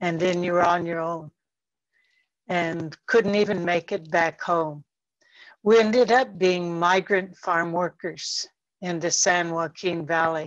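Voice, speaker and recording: Against a quiet background, a woman with an American accent talks at a very slow pace, using a fairly low pitch and fairly even intonation. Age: 70s. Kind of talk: panel discussion. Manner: halting with fillers.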